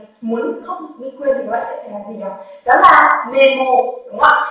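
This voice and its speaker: Strong room echo surrounds a woman speaking in a high pitch. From Vietnam. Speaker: Japanese language teacher. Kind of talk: lecture. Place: classroom. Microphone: camera far.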